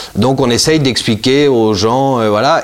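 There is noticeable background noise behind this man's speech. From Italy. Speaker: wine school founder and wine shop owner. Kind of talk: interview. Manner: halting, many fillers and repetitions.

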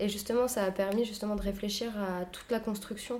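Her delivery is monotone and flat, as a woman speaks at a fairly quick pace and a medium pitch. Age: 20s. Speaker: leatherworker and saddler, workshop co-founder. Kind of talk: interview.

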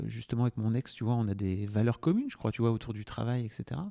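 A man's medium-pitched voice in a dark, mellow tone. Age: 40s. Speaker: podcast producer. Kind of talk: casual chat. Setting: at guest's home. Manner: halting.

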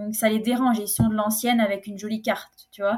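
This woman has an unremarkable speaking voice and talks at a fairly quick pace. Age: 20s. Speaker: private chef and food consultant. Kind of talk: casual interview.

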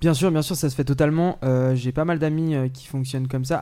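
A man's voice has a dark, mellow tone and monotone, flat intonation. The recording is very clean with a silent background. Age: 20s. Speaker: independent musician. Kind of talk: casual interview chat.

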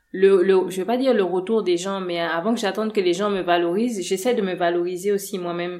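With a plain, everyday voice, a woman speaks at a medium pitch using fairly even intonation. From Gabon. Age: 30s. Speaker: massage therapist and cosmetics entrepreneur. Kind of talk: interview.

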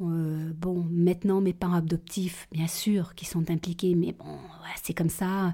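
A woman speaks at a fairly slow pace in a fairly low, somewhat breathy voice with a dark, mellow tone, on a very clean recording with a silent background. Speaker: adoptee telling her life story. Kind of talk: testimony. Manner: halting, with many hesitations.

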